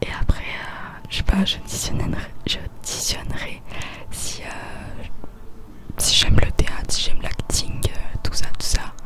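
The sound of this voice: At a fairly slow pace, a woman is whispering.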